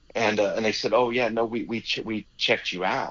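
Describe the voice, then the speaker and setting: Talking at a fairly quick pace, a man with a Texan accent uses a medium pitch. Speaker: rodeo announcer. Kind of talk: interview answer, storytelling. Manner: casual, halting.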